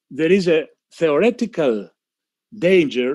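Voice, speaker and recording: A man speaks with a Greek accent and very wide pitch swings. The background is quiet. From Greece. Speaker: physician, panel speaker. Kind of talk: panel talk. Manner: halting, many fillers and repeats.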